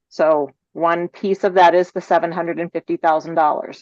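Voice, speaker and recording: At a moderate pace, a woman with a medium pitch talks in an ordinary speaking voice over a quiet background. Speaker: agency staff presenter. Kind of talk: public meeting presentation. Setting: video call.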